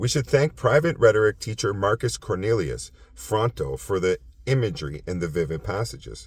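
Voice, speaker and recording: A man talks at a moderate pace in a fairly low pitch with vocal fry and very wide pitch swings. The recording is very clean, with a silent background. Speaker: philosophy video host. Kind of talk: reading aloud with commentary; casual monologue. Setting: outdoors at sunset. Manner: halting, self-correcting.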